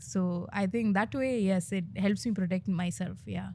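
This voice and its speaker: A woman speaks at a moderate pace, sounding somewhat breathy. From India, Bengaluru. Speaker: content creator and comedian. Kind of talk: interview. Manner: hesitant, many fillers.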